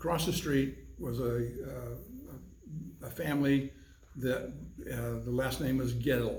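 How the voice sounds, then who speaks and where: An audible room echo surrounds a man speaking with an American accent. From Arizona. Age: 70s. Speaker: civic club president. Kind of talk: oral history interview. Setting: in-person interview.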